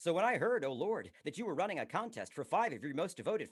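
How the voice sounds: A natural reading voice carries lively intonation.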